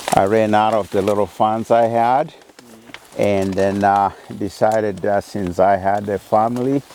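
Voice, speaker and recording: A man's fairly low voice at a fairly slow pace, fairly even in intonation, with noticeable background noise. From Kenya, Maragoli, Vihiga. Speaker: university professor. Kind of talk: interview answer. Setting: outdoors.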